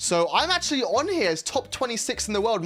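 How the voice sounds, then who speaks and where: A man with a British accent. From UK. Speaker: gaming YouTuber. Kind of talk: casual gameplay commentary.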